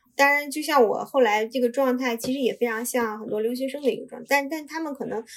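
With a fairly high pitch, a woman talks in fairly even intonation. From China. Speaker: Chinese immigrant and job seeker in Korea. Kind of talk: casual interview chat. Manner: halting, many filler sounds.

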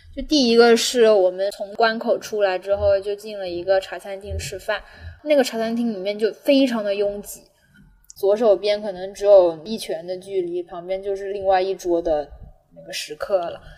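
A woman with a strong Cantonese accent, medium-pitched, her tone dark and mellow, at a moderate pace with ordinary pitch variation and big swings in loudness. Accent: Cantonese-accented Mandarin, fairly strong. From Guangdong, southern China. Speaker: podcast host. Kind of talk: casual chat.

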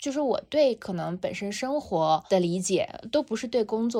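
A woman speaks in a calm tone that is dark and mellow. The recording is very clean, with a silent background. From Xinjiang, China. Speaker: founder of a meditation brand. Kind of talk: casual interview.

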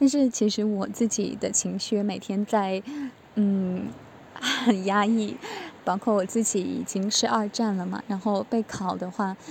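Over noticeable background noise, a woman with a medium-pitched voice talks fairly slowly, with ordinary pitch variation. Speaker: student preparing for exams. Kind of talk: testimony.

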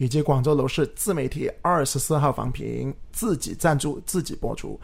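An unremarkable speaking voice from a man, fairly high in pitch, with ordinary pitch variation at a moderate pace. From Guangzhou, southern China. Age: 30s. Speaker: real estate podcast host and agent. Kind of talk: casual chat.

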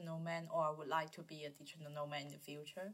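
A woman speaks with a Cantonese accent. Her pace is fairly quick. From Guangzhou, southern China. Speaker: student podcast host. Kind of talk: interview. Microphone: poor recording quality.

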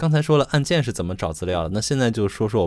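Over a silent background in a very clean recording, a man rushes at a very fast pace with very wide pitch swings. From Xi'an, Shaanxi. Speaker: podcast co-host. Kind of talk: casual chat.

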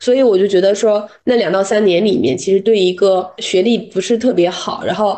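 A woman with an unremarkable speaking voice talks at a moderate pace with hardly any pauses, medium pitch and ordinary pitch variation. Her loudness stays very even. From Dalian, northeast China. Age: 30s. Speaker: corporate culture consultant. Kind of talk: podcast interview.

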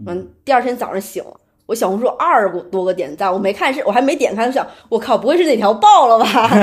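Lively intonation marks this woman's voice, fairly high in pitch. She speaks at a very fast pace. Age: 30s. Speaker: unemployed graphic designer. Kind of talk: casual chat.

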